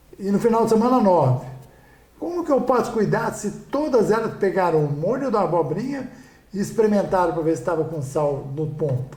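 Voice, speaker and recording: A man speaks at a moderate pace in a high voice with very wide pitch swings, and the room echo is audible. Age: 60s. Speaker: restaurant owner. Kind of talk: podcast interview. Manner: repetitive, halting.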